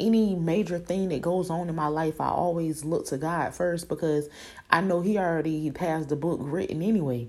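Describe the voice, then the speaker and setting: At a moderate pace, a woman speaks in an ordinary speaking voice, fairly low-pitched with fairly even intonation. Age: 20s. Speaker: podcaster and preschool worker. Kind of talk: casual faith-based monologue. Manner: conversational, frequent ums.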